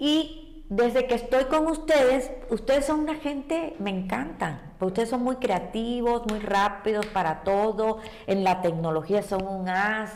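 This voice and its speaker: Very wide pitch swings and hardly any pauses, over noticeable background noise. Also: woman, fairly high pitch for a woman, fairly slow pace. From Cuba. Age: 60s. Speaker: ballet teacher. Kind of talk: interview.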